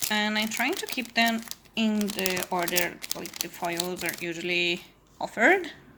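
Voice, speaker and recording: A woman speaks in a non-native accent with ordinary pitch variation. There is noticeable background noise. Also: medium pitch for a woman, fairly slow pace. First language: not English. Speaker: crafting youtuber. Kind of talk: casual haul video chat. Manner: casual with fillers.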